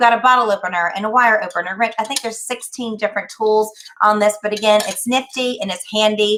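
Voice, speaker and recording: Speaking fairly quickly with a Charleston accent, a woman has a fairly high pitch and a bright, sharp tone. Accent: Charleston, South Carolina. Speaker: promotional products presenter. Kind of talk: product demonstration. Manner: animated.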